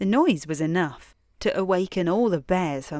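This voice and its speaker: With a British accent, a woman speaks at a fairly slow pace. Her fairly low-pitched voice has lively intonation. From England. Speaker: bedtime storyteller. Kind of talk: sleep story. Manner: slow, sleepy.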